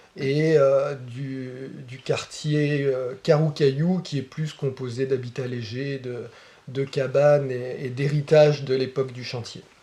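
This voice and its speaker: A man with a dark, mellow, somewhat breathy tone speaks very slowly at a medium pitch, his intonation fairly even. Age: 40s. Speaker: baker. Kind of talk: casual interview.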